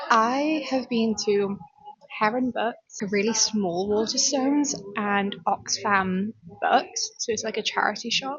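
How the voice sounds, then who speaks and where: Fairly high female speech, background noise clearly present. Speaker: book vlogger. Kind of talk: casual vlog. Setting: cafe. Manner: animated.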